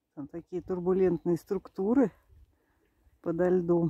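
Fairly slow speech carries a dark, mellow tone with a husky, rough edge. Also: woman.

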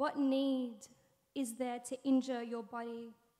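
A woman with an Australian accent talks at a fairly slow pace over a quiet background. Her high voice has a monotone, flat intonation. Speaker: spoken word poet. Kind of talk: spoken word poetry performance. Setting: stage with audience. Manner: deadpan, wry intro, then intense and deliberate delivery. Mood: earnest, intense, questioning. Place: stage. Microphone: studio mic.

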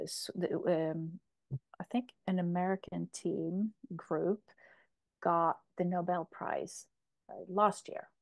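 Against a quiet background, a woman speaks at a very slow pace with long, frequent pauses. Her intonation is monotone and flat. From Sweden. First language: Swedish or Polish. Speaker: emotional relief coach; interview guest. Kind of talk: interview. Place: home room. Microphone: earbuds.

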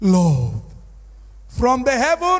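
The man's speech moves at a very slow pace. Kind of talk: prayer. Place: church. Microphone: handheld.

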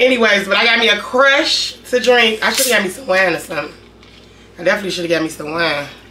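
A woman talks at a very fast pace with lively intonation. Light background noise sits behind her. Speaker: food vlogger. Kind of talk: casual vlog chat. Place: home room. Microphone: camera far.

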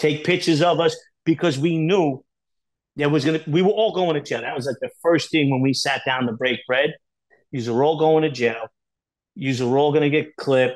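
In a New York accent, a man with a fairly high pitch speaks at a moderate pace with ordinary pitch variation and long, frequent pauses against a quiet background. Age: middle-aged. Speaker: former organized crime associate; podcast guest. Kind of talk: interview. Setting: video call. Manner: animated. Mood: animated storytelling. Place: home room. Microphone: earbuds.

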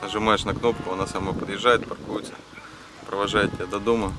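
Speaking at a fairly quick pace, a man sounds dry with no echo amid noticeable background noise. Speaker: car audio reviewer. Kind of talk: review commentary. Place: waterside.

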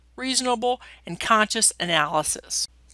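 A woman's bright, sharp voice at a fairly high pitch with lively intonation, on a very clean recording with a silent background. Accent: American. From US Midwest, northwestern Ohio. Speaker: professor. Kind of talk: lecture. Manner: formal.

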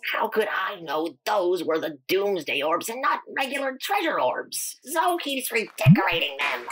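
A cartoonish character voice sits at a fairly high pitch. It moves at a moderate pace with very wide pitch swings. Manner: defensive, whiny.

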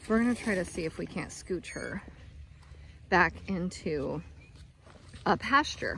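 A woman speaks at a fairly slow pace with a fairly low pitch, a fairly bright tone, vocal fry and lively intonation.

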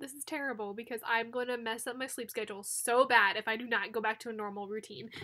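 A woman with a bright, sharp tone speaks very fast with fairly even intonation against a quiet background. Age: 20s. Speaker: YouTuber, planner creator. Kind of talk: casual vlog talk and tutorial. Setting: at home. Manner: casual, many fillers. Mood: chatty, a bit tired.

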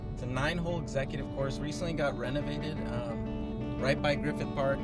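Loud music plays behind a man talking at a fairly quick pace, with dry sound and no echo. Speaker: golf vlogger. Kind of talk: casual talk to camera. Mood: relaxed, upbeat. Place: car. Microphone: phone near.

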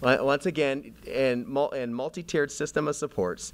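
A man has an ordinary speaking voice with a fairly high pitch. He talks at a fairly slow pace. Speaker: school district staff. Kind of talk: presentation to school board. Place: meeting room. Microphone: podium.

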